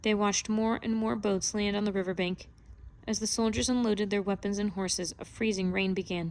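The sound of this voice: Intonation kept fairly even, in an unforced reading voice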